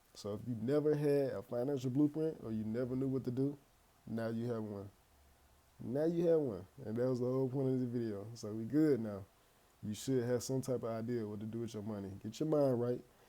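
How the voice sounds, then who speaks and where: A man's medium-pitched voice, dark and mellow in tone, at a fairly quick pace with ordinary pitch variation. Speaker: finance YouTuber. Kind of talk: casual tutorial. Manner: occasional stutter; casual, conversational.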